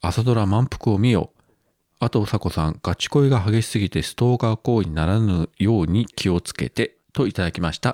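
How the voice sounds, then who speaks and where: In a plain, everyday voice, a man with fairly low pitch speaks at a moderate pace with lively intonation, recorded dry and close with no echo on a very clean track with a silent background. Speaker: podcast host. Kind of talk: casual chat.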